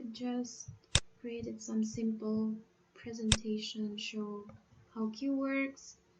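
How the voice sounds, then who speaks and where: Over noticeable background noise, a woman with a fairly high pitch speaks very slowly in a monotone, flat intonation, with long, frequent pauses. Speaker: programming tutor. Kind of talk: tutorial. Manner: halting.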